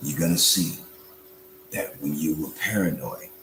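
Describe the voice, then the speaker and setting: Noticeable background noise fills the recording. Through it, a man talks at a moderate pace. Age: 60s. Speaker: religious and political speaker. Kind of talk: motivational speech. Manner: animated.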